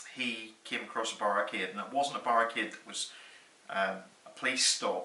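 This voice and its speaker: Noticeable background noise accompanies a man speaking at a moderate pace with a medium pitch and ordinary pitch variation. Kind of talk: personal storytelling. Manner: casual, conversational.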